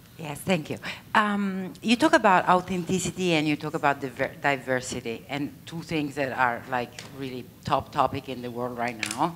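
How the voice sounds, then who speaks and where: A woman with a strong Italian accent speaks at a moderate pace in a very deep, low pitch with lively intonation. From Italy. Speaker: audience member asking a question. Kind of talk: audience question at panel.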